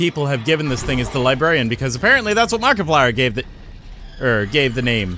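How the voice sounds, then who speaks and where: Over noticeable background noise, a man speaks at medium pitch and a very fast pace, with lively intonation and an animated tone. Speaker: gaming YouTuber. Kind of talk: let's play commentary. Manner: loud.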